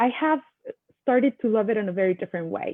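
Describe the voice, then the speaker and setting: Her pitch varies in an ordinary way. The woman's voice is fairly high. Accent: Mexican. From Mexico. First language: Spanish. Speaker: attorney and panelist. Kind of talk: panel discussion. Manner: halting, many fillers.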